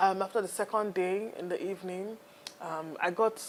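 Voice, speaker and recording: A Nigerian accent, a fairly slow pace, and ordinary pitch variation. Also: woman. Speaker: entrepreneur. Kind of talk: interview.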